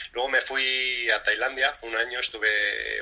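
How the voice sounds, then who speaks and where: The speaker talks fairly slowly, with noticeable noise in the background. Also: man. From Spain. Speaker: breathing and fitness coach. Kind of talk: interview.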